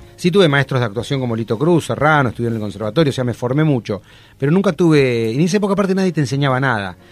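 This man speaks with an Argentine accent at a very fast pace. His intonation is lively. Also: medium pitch for a man. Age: 50s. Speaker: TV actor and social entrepreneur. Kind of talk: casual chat.

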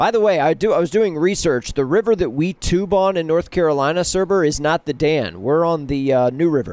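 With a normal speaking voice, this man talks at a fairly quick pace, keeping his loudness very even and his pitch variation ordinary. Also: fairly high pitch for a man, hardly any pauses, very clean recording, silent background. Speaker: podcast co-host. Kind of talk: casual chat.

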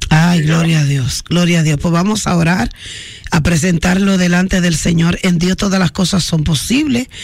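Against noticeable background noise, a woman speaks at a fairly low pitch with ordinary pitch variation and very even loudness. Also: moderate pace. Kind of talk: radio call-in show with prayer. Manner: animated.

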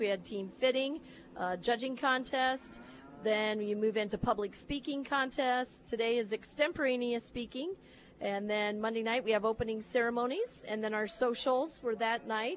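This woman speaks in a Midwestern US accent at a moderate pace. Her voice is fairly high, with ordinary pitch variation. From northern Iowa. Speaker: livestock show organizer. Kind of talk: interview.

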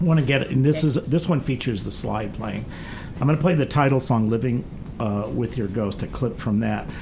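Noticeable background noise sits behind a man speaking at a fairly quick pace. His pitch is medium and his intonation lively. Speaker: radio show host. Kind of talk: radio interview. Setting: studio.

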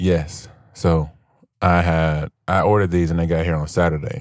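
With a very deep, low pitch and monotone, flat intonation, a man speaks in a very clean recording against a silent background. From US Midwest, Gary, Indiana. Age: 30s. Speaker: podcast host. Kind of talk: casual chat.

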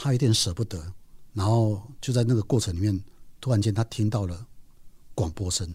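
In a very clean recording with a silent background, a man with a dark, mellow, somewhat breathy tone and fairly low pitch speaks at a moderate pace with ordinary pitch variation. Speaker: podcast host and nature writer. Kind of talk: storytelling narration.

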